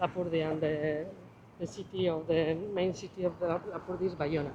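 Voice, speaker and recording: Against noticeable background noise, a woman delivers her words at a fairly quick pace in a flat monotone. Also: fairly low pitch for a woman. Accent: Basque. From Basque Country. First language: Basque. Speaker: local guide. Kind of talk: explanation in Spanish; casual chat.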